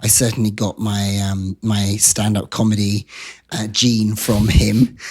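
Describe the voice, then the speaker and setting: Speaking in a British accent, a man delivers his words at a fairly slow pace with a fairly low pitch and monotone, flat intonation. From England, Wiltshire. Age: 50s. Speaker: activist and comedian. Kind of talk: interview.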